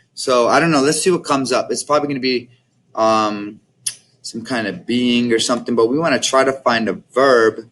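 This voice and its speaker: A Mexican accent at a fairly quick pace with ordinary pitch variation, on a very clean recording with a silent background. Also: man, medium pitch for a man. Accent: Spanish with a Mexican-sounding. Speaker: Spanish teacher. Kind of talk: classroom tutorial. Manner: casual, hesitant with fillers.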